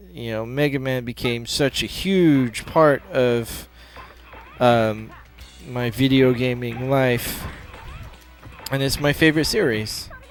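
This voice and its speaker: Noticeable background noise runs behind a man with an American accent. He speaks at a very slow pace in a medium pitch. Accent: American, English accent completely gone. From England, moved to US around age eight. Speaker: gaming video creator. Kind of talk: let's play commentary. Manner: casual with many fillers and repetitions.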